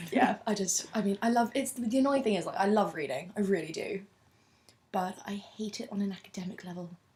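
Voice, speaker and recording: Her voice sits at a medium pitch and is somewhat breathy. The woman speaks at a fairly quick pace with ordinary pitch variation. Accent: southern English. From London, England. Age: 20s. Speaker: university student. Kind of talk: interview.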